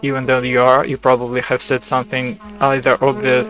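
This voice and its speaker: Over music in the background, a man with a non-native accent talks at a moderate pace and a medium pitch. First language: not English. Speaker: video creator sharing AI chats. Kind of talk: casual commentary. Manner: halting, many fillers and restarts.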